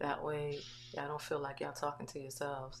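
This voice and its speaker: A soft-spoken woman is heard with audible room echo and noticeable background noise. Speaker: online talk show host. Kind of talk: casual interview livestream. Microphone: volume turned up, was too quiet.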